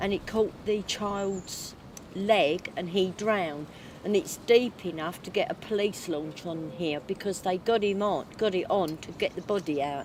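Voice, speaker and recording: Speaking in a London accent, a woman goes at a fairly slow pace with ordinary pitch variation. The sound is dry with no echo, with light background noise. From southeast London. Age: 60s. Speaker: documentary subject. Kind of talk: documentary interview. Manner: halting. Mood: reflective, storytelling.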